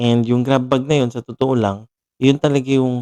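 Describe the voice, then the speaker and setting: A man's medium-pitched voice, dark and mellow in tone, moves at a fairly quick pace in a dry, close recording with no echo. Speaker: streamer. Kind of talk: casual live stream chat. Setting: home at night, live stream. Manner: quieter than usual, subdued; halting, self-correcting.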